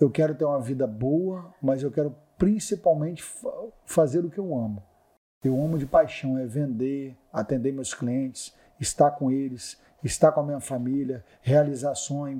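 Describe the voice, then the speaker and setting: This man has a fairly high pitch and a dark, mellow tone. He talks at a fairly slow pace with ordinary pitch variation. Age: 40s. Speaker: luxury car salesman. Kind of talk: casual interview. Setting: podcast studio at architecture event. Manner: animated.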